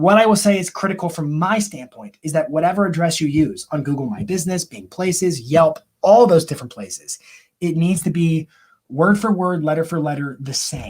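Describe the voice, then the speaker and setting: The man's pitch is high, with ordinary pitch variation. He talks at a fairly quick pace with big swings in loudness. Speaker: marketing coach and live stream host. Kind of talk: live Q&A stream. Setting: live online broadcast. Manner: fast; animated.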